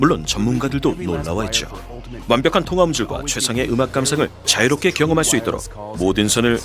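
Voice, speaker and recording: A man at a fairly quick pace with very wide pitch swings, music in the background. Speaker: voice actor. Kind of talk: TV commercial read. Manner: fast.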